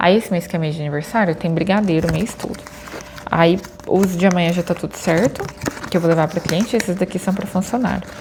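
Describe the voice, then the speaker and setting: Noticeable noise fills the background while a woman talks at a moderate speed. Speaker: vlogger. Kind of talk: casual vlog chat. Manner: chatty.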